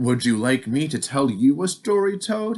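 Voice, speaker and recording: Using a put-on character voice, a man speaks at a moderate pace with a fairly high pitch. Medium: read story.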